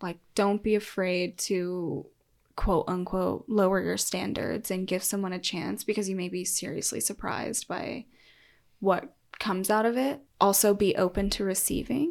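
A woman with a plain, everyday voice speaks at medium pitch and a moderate pace with ordinary pitch variation. The recording is very clean, with a silent background. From Colorado, US. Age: 20s. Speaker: podcast guest. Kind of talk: casual chat.

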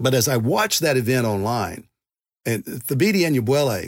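Speaking at a fairly quick pace with lively intonation, a man has a plain, everyday voice at medium pitch, recorded very cleanly against a silent background with a dry, close sound and no echo. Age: 60s. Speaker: pastor and denominational presidential candidate. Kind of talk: interview.

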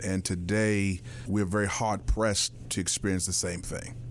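A man is talking. His pace is moderate. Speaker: pastor. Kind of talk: interview. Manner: oratorical.

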